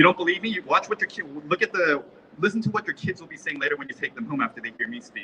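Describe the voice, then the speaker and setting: With a high pitch, lively intonation and an animated tone, a man talks at a very fast pace, his loudness swinging widely, in a dry, close sound with no echo over noticeable background noise. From South Korea-born, raised in US. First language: Korean. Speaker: rally speaker. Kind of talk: public speech at a rally.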